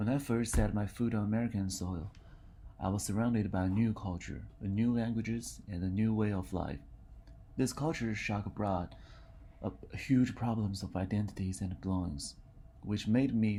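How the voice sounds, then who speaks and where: Dark and mellow in tone and somewhat breathy, a man's fairly low voice moves at a moderate pace with ordinary pitch variation. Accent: Mandarin. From China. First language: Mandarin. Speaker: university student. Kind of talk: reading aloud.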